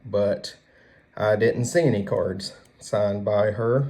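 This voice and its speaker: Speaking in a Southern US accent, the man has a relaxed tone that is dark and mellow. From US South. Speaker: card collector YouTuber. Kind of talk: casual chat. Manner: relaxed, with fillers.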